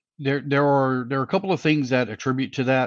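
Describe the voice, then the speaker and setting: The speaker is a man with a Southern US accent. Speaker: race director and announcer. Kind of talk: interview. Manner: folksy.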